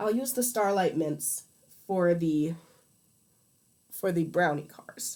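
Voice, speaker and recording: With an American accent, a woman speaks very slowly at a fairly low pitch. Her intonation is lively, broken by long, frequent pauses. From US Midwest. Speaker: streamer. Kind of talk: casual livestream chat while crafting. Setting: livestream. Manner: hesitant, many fillers.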